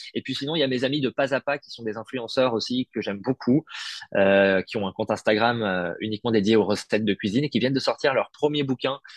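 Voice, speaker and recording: A man talking at a very fast pace, in a dry, close sound with no echo. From Paris, France. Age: 30s. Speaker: food content creator, former radio journalist. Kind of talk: casual interview.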